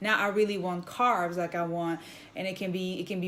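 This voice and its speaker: Her voice sits at a medium pitch, and the woman speaks in a French accent. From France. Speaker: vlogger. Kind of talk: casual vlog monologue.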